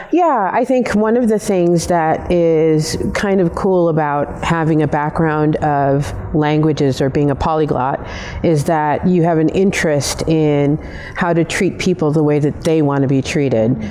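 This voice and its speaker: Noticeable background noise and audible room echo surround a woman's very deep, low voice. She keeps her loudness very even and speaks at a fairly slow pace with ordinary pitch variation. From Kenya. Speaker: customer experience executive. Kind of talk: interview. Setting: filmed on location at a football stadium.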